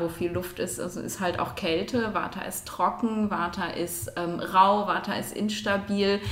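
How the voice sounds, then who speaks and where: A woman's fairly even intonation comes through audible room echo and noticeable background noise. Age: 40s. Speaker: neurologist. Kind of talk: expert interview. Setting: at her home.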